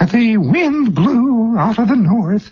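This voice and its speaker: A man's high-pitched, put-on character voice with lively intonation. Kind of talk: stiff, formal reading voice.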